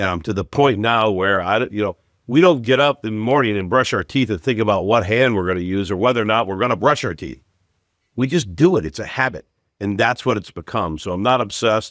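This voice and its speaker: The recording is very clean, with a silent background. A man with an ordinary speaking voice and fairly low pitch talks at a fairly quick pace with lively intonation. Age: 60s. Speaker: retail executive. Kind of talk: podcast interview.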